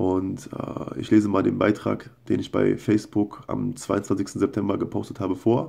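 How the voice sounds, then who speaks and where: A man with a fairly low pitch and a dark, mellow tone speaks with vocal fry and ordinary pitch variation against a quiet background. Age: 20s. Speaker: video blogger. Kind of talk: casual monologue and reading his own posts aloud. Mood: earnest, personal confession. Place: home room. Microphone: phone near.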